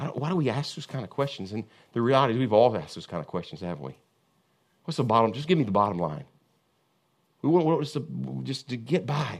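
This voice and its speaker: A man talks at a very fast clip, his pitch swinging very widely with vocal fry. He leaves long, frequent pauses. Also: medium pitch for a man. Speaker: pastor. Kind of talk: sermon. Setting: church.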